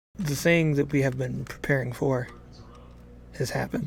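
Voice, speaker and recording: A man uses a put-on character voice that is raspy and medium in pitch, speaking at a moderate pace. Clear background noise can be heard. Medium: actual play. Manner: curt, terse.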